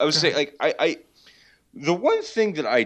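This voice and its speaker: A man's voice against a quiet background. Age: 30s. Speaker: business and economics journalist. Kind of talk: casual chat.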